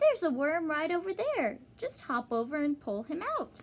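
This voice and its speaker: A woman puts on a squeaky character voice, high in pitch. She keeps a moderate pace. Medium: read story. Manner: kind, encouraging.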